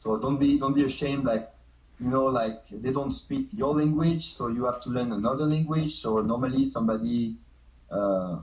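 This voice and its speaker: A man's somewhat breathy, medium-pitched voice at a moderate pace, with ordinary pitch variation. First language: not English. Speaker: street dancer. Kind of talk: casual chat.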